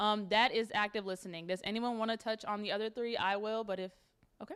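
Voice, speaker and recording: Her pitch fairly high, a woman talks at a very fast pace with fairly even intonation. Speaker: workshop presenter. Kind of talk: workshop talk to students.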